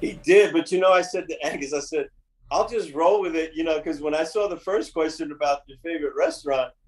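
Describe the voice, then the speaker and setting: With a New York accent, a man talks at a fairly quick pace, his loudness swinging widely. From New York, Bronx and Westchester. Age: 60s. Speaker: touring drummer. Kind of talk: casual interview chat.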